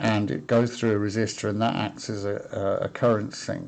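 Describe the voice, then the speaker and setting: A man talks at a moderate pace in a medium pitch. It is an unremarkable speaking voice against a quiet background. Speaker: electronics hobbyist. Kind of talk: casual tutorial talk to camera. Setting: webcam microphone.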